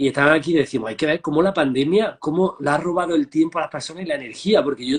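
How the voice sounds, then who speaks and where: Very fast pace from a man, fairly high in pitch, with ordinary pitch variation. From Andalusia, Spain (Marmolejo, Jaén). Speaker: transpersonal therapist. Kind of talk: interview.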